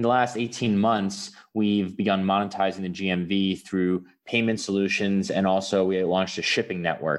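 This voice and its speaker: A plain, everyday voice: a man, fairly low in pitch, with an American accent, fairly even intonation and a moderate pace against a quiet background. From US, New York City. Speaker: startup founder. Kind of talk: interview.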